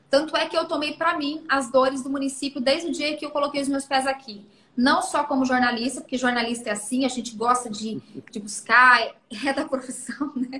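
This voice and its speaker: Raised and projected, the voice carries a bright, sharp tone. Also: woman, high pitch for a woman. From Brazil, Mato Grosso do Sul; moved to São Paulo state at 12. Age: 30s. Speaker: mayor and former TV journalist. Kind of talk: interview.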